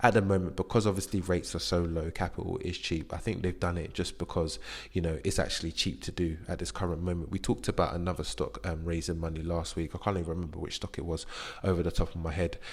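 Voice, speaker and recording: A man with a very deep, low voice speaks at a very fast pace, somewhat breathy, his intonation fairly even. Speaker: investing YouTuber. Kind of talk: casual portfolio update monologue.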